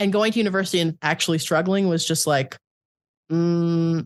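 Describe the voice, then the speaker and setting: With a Canadian accent, a woman speaks in a plain, everyday voice, fairly low in pitch, with ordinary pitch variation and a moderate pace, in a dry, close sound with no echo over a quiet background. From Canada. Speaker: podcast co-host. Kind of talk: casual chat.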